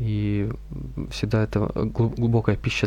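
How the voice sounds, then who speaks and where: A man amid noticeable background noise. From Russia, Veliky Novgorod. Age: 20s. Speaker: seminarian. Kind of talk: radio interview.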